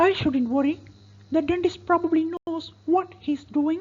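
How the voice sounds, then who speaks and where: In a put-on character voice, a woman speaks at a moderate pace, squeaky and at extremely high pitch, with fairly even intonation. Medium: read story. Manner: soothing, steady.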